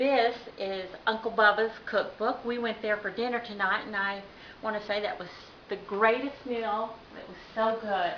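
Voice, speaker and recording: Over noticeable background noise, a woman with an American accent speaks at a moderate pace and a fairly high pitch, with fairly even intonation and big swings in loudness. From Oklahoma. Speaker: home cook, cooking contest entrant. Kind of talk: cooking tutorial. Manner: casual, chatty.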